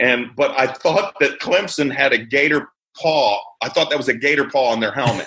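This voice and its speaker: A man's fairly high voice with an American accent, moderate pace and ordinary pitch variation, a plain, everyday voice. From Chicago area, US Midwest, then central Florida from age 14. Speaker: firefighters union leader. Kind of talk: podcast interview.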